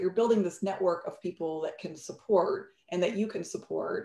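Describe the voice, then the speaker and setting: Over a quiet background with audible room echo, a woman speaks at a fairly quick pace. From Bolivia. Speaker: entrepreneur and startup CEO; guest. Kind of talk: interview on a virtual fireside chat. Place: home room. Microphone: video call.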